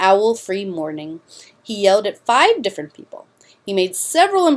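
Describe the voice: Someone reads aloud plainly.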